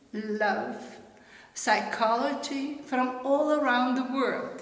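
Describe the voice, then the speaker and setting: A woman with a Slovenian accent speaks at a very slow pace, with a high pitch and ordinary pitch variation. Noticeable background noise and audible room echo fill the recording. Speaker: author. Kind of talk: promotional self-introduction.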